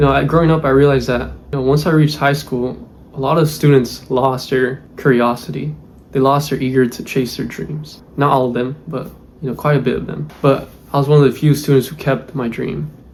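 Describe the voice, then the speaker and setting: Amid noticeable background noise, a man speaks at medium pitch and a fairly quick pace with fairly even intonation. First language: Spanish. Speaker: aerospace engineer, YouTuber. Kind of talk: personal vlog, life story. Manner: casual, filler-heavy.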